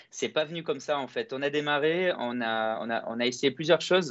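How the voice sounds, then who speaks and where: A man talks at a moderate pace in a normal speaking voice. His pitch varies in an ordinary way. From France (Toulouse) and Greece (Kalamata). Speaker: entrepreneur. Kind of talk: interview. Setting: video call.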